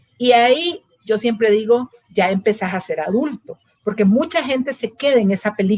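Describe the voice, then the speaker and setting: Here is a woman with a normal speaking voice, fairly high in pitch with lively intonation at a moderate pace, in a dry, close sound with no echo. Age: 60s. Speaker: psychologist. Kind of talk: interview conversation.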